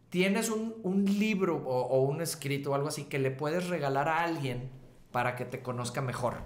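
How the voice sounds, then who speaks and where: With audible room echo and noticeable background noise, a man speaks at a moderate pace in a fairly high voice. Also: lively intonation. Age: 40s. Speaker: musician and author. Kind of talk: casual chat.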